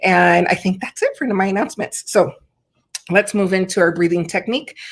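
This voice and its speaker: Vocal fry colors this woman's medium-pitched voice. She talks at a fairly quick pace with ordinary pitch variation. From California. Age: 40s. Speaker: online show host, parent advocate. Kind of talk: hosted online check-in, announcements. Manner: warm, hesitant with fillers.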